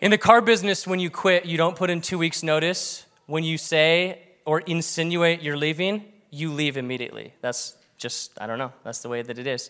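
A man's bright, sharp voice at a moderate pace, with ordinary pitch variation and a quiet background. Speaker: pastor. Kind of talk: sermon. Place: church. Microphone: handheld.

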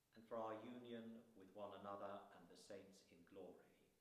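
A man's fairly low voice at a fairly slow pace, with audible room echo. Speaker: lay reader. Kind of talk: reading aloud. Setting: church. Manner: halting. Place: church. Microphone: camera far.

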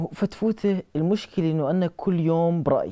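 Against a quiet background, a man with a high pitch and a dark, mellow tone talks at a moderate pace with ordinary pitch variation. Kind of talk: scripted dialogue, storytelling. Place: studio. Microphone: lapel.

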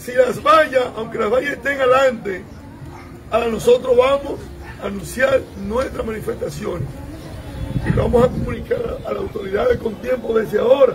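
A man speaks with a Dominican accent, leaving long, frequent pauses. Crowd noise carries in the background. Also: moderate pace. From Dominican Republic. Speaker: congressman. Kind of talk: political meeting talk. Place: street. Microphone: phone near.

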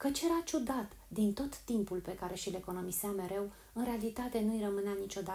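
The voice is a natural reading voice. It reads that way from start to finish.

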